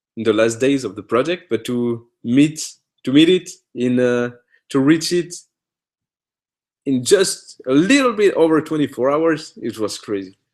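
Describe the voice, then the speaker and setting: The speaker has a non-native accent and lively intonation. Long pauses come often. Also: man, fairly high pitch for a man. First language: French. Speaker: author and host of a live Q&A. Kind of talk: live Q&A stream. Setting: live online video stream. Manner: halting, many fillers and restarts.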